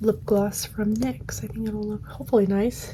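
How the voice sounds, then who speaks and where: At a fairly slow pace, a woman talks with noticeable background noise behind her. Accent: American. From Michigan, US. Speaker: ASMR creator. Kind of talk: ASMR get-ready-with-me chat. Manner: soft-spoken, whispery; getting louder over the video.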